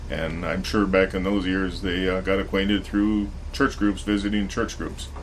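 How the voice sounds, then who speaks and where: Noticeable background noise and audible room echo surround a man with an American accent who talks at a moderate pace in a fairly low, monotone voice with flat intonation. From US Midwest, South Dakota (near Corsica). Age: 50s. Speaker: cooperative manager. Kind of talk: oral history interview.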